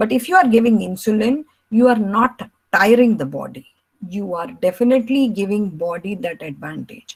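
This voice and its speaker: At a fairly high pitch, a woman speaks in a somewhat breathy voice at a moderate pace, her intonation lively. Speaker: doctor, diabetes educator and counselor. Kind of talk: lecture.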